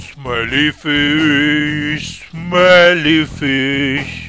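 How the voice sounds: A man's cartoonish character voice, fairly high and bright and sharp in tone, with fairly even intonation at a very slow pace over faint background music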